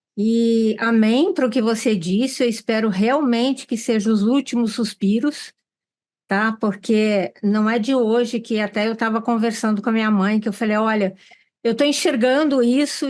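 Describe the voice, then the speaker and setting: Over a quiet background, a woman uses a normal speaking voice, fairly high in pitch with ordinary pitch variation, very even loudness and a moderate pace. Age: 60s. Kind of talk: panel discussion.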